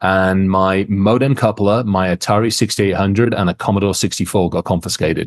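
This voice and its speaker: Speaking at a fairly quick pace with hardly any pauses, a man with an ordinary speaking voice holds a fairly low pitch, fairly even intonation and very even loudness. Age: 50s. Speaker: cybersecurity expert. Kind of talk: casual interview.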